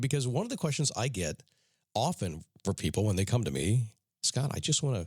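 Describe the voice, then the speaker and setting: Very fast, medium-pitched male voice with vocal fry and very wide pitch swings. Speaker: motivational podcast host. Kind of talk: motivational talk. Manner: casual, conversational.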